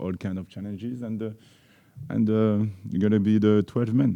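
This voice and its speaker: A man with a French accent talks at a fairly quick pace in a fairly low, dark, mellow voice with ordinary pitch variation. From France. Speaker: football coach. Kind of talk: press conference. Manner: halting.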